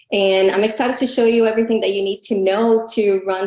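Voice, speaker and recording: A woman's voice at a moderate pace, with fairly even intonation and noticeable background noise. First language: not English. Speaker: affiliate marketing coach. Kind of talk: live webinar class.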